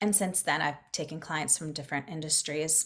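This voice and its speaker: At a fairly quick pace, a woman with an American accent has an unremarkable speaking voice with ordinary pitch variation. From Florida. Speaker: business coach. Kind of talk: casual chat.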